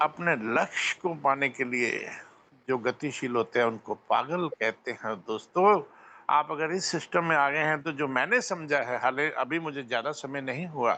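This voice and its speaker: Against a quiet background, a man speaks with a bright, sharp tone at a fairly high pitch, using ordinary pitch variation. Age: 60s. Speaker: network marketing member speaking at meeting. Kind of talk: motivational speech on a video call. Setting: video call.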